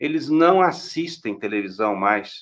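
Speaking at a very slow pace, a man's voice comes through at a fairly high pitch. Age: 50s. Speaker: law professor. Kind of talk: interview on a live stream.

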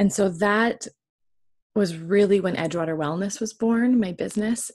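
A woman at a moderate pace, a plain, everyday voice with ordinary pitch variation. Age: 30s. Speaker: wellness podcast host and former teacher. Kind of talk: casual monologue.

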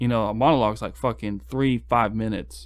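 This is a man with a normal speaking voice and a fairly low pitch. He talks at a fairly quick pace with ordinary pitch variation. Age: 20s. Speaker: podcast guest. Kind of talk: casual chat.

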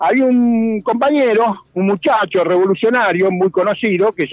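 A man with a high voice talks at a moderate pace, his intonation lively. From Argentina, Chivilcoy (Buenos Aires province). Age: 70s. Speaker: veteran political activist. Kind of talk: radio interview, historical testimony.

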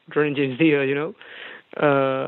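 In a Spanish accent, a man speaks at a very slow pace. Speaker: rock singer. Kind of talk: interview. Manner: halting.

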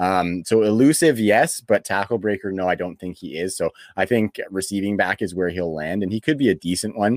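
An unremarkable speaking voice from a man with a Canadian accent, fairly low-pitched, fast-moving at a fairly quick pace with hardly any pauses and ordinary pitch variation, in a dry, close sound with no echo on a very clean recording with a silent background. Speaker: fantasy football podcast host. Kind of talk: casual chat. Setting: home studio.

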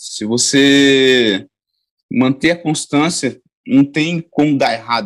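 A fairly high-pitched voice belongs to the male speaker here. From São Paulo coast, Brazil (born in Bahia). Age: 20s. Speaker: jiu-jitsu athlete. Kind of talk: casual interview.

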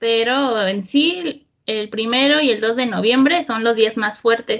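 A woman with a fairly high voice speaks very slowly. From central Mexico (Estado de México). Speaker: interviewee. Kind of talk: casual chat.

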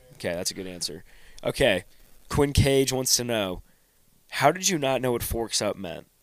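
Pausing long and often, a man at medium pitch makes very wide pitch swings. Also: moderate pace. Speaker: podcast host. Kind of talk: casual chat.

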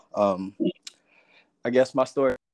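The voice has an American accent and a dry, close sound with no echo. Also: man. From Texas, Houston. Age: 30s. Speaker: children's author. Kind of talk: interview. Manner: hesitant, many fillers.

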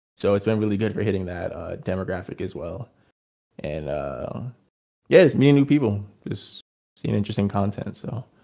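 With a Californian accent, a man talks at a moderate pace in a fairly low pitch and a dark, mellow tone, his lively intonation marked by big swings in loudness and long, frequent pauses, on a very clean recording with a silent background. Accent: Californian American. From Los Angeles. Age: 20s. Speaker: musician. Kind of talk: casual chat.

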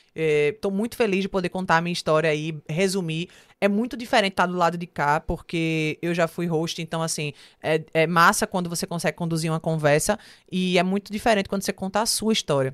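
A woman with a fairly low pitch and ordinary pitch variation speaks at a fairly quick pace in an animated tone, the sound dry and close with no echo on a very clean recording against a silent background. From Pernambuco, Brazil (Olinda/Recife). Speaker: singer, actress and TV presenter. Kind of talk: interview. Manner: talkative, animated.

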